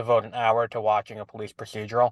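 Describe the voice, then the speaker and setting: A man at medium pitch with a New York accent, very fast, in a dry, close sound with no echo and a quiet background. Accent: New York City. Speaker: podcast co-host. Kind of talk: casual chat.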